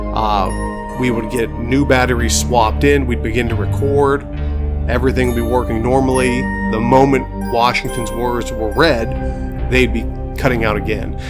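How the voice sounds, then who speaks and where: A man speaks in a very deep, low voice with lively intonation. Music plays in the background. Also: moderate pace. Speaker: history professor. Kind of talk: casual talk to camera. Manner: conversational, hesitant.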